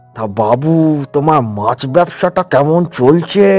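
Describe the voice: A cartoonish character voice at a fairly slow pace, with music in the background. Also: man, fairly high pitch for a man.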